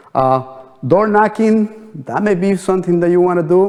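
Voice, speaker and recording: A man with a non-native accent and a dark, mellow tone talks at a fairly slow pace. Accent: foreign. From New Jersey, US. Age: 50s. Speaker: real estate trainer. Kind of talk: training seminar. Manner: halting, many fillers.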